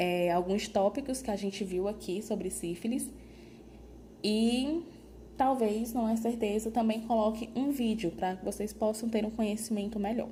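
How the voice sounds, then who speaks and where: A woman's fairly high, somewhat breathy voice with a dark, mellow tone, fairly even intonation and a fairly slow pace, amid audible room echo. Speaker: nursing lecturer. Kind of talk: lecture.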